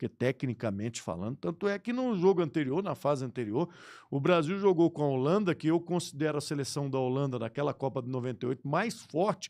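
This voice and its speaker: A plain, everyday voice moves at a fairly quick pace with hardly any pauses and lively intonation. The sound is dry and close with no echo, over a quiet background. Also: man, fairly high pitch for a man. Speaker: sports radio broadcaster. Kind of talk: podcast interview answer. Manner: casual, conversational.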